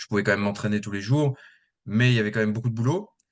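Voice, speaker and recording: The background stays quiet. A man's voice sits fairly low in pitch. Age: 30s. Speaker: fitness coach and trainer, former gendarme. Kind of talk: podcast interview. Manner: hesitant, many fillers.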